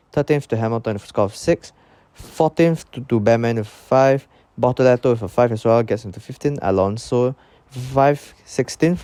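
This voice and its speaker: A man speaks at medium pitch with ordinary pitch variation and a dark, mellow tone. The sound is dry and close, with no echo. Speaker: YouTuber, F1 commentator. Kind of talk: casual video commentary. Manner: fast; halting.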